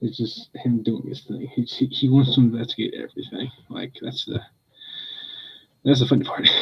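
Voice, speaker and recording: Soft-spoken and somewhat breathy, a man speaks at a moderate pace in a monotone, flat intonation, with long, frequent pauses and big swings in loudness. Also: medium pitch for a man. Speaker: pet livestreamer. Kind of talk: casual chat. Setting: livestream at home.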